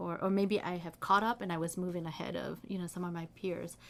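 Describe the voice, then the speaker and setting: A woman speaks at a medium pitch. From US Midwest, Saint Paul, Minnesota. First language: Hmong. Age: 40s. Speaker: history professor. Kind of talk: interview.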